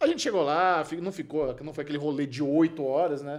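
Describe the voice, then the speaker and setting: A man speaks in a normal speaking voice, fairly high in pitch, at a fairly quick pace with ordinary pitch variation. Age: 40s. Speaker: podcast host. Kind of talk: casual chat.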